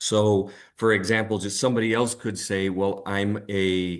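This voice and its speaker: A fairly low-pitched man with an American accent against a quiet background. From United States. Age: 40s. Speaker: financial readiness trainer. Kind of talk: online training presentation. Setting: live-streamed online session. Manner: halting, many filler words and restarts.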